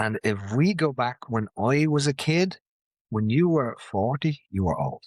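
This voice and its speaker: A man with a Dublin accent speaks at a medium pitch and a fairly slow pace, with lively intonation. The sound is dry and close with no echo, and the background is quiet. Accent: Dublin Irish. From Ireland, Dublin (Ballymun). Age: 50s. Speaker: martial arts instructor and mental health advocate. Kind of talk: casual chat.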